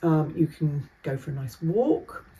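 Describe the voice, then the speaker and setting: A woman with a British accent speaks in a somewhat breathy voice with a dark, mellow tone. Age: 60s. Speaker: vlogger and driving instructor. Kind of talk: casual vlog monologue. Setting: standing by Christmas tree at home. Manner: chatty, hesitant with fillers.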